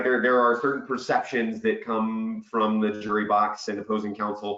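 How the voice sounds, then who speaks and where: A man talks at a moderate pace, his pitch medium and his intonation fairly even. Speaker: webinar host, business development director. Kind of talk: webinar panel discussion. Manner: loud and boisterous.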